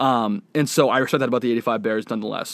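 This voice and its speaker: Very fast speech in an American accent, with fairly even intonation, comes through a very clean recording with a silent background and a dry, close sound with no echo. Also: man. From Boston. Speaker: podcast host. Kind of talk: interview.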